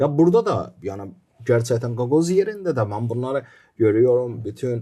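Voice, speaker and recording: A man with an Azerbaijani accent has a dark, mellow tone at a medium pitch. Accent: Azerbaijani accent in Turkish. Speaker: documentary filmmaker. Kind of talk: podcast interview.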